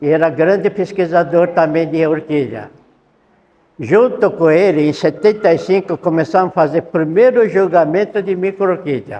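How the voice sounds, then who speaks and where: A man at a high pitch and moderate pace, with ordinary pitch variation. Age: 70s. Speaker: orchid researcher. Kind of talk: lecture. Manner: halting.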